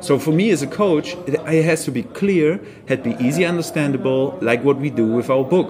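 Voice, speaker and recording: Someone with a German accent speaks at a moderate pace with ordinary pitch variation over noticeable background noise. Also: man, fairly high pitch for a man. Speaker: surf coach. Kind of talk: casual interview. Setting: on location in Portugal.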